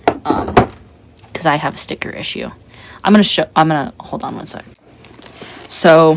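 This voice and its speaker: Amid noticeable background noise, a man with a fairly high voice speaks with long, frequent pauses. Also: ordinary pitch variation, moderate pace, big swings in loudness. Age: 20s. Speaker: artist vlogger. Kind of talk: casual chat while drawing. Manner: casual, rambling slangy speech.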